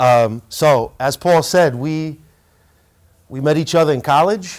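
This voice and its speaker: In a very clean recording with a silent background, a man with a fairly high pitch speaks at a fairly slow pace with ordinary pitch variation. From France, Paris; later New York teens. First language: French. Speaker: hip hop artist and curator. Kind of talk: presentation to students. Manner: casual, engaging with audience.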